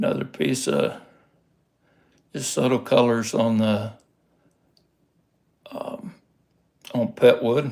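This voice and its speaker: Very slow, relaxed speech from a man with a Texas accent, broken by long, frequent pauses. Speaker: rockhound hobbyist youtuber. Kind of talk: casual livestream show-and-tell. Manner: relaxed, hesitant with fillers.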